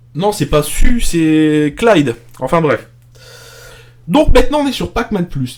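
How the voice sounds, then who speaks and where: Music plays in the background as a man speaks. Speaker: streamer / arcade show host. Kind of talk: live stream commentary while playing. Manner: loud, projecting voice; casual, with hesitations. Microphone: pop filter too far from mic.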